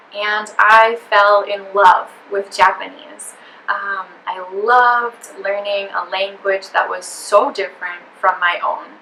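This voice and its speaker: A woman talks at a very slow pace while noticeable background noise carries on. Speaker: English teacher. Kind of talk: interview answer.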